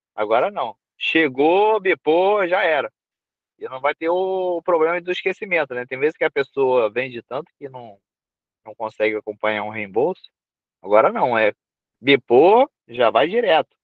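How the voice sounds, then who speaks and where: A man with a fairly high pitch speaks at a moderate pace, with big swings in loudness and long, frequent pauses. The sound is dry with no echo over a quiet background. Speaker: team member explaining platform updates. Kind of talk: casual chat. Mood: upbeat, informal. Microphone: video call.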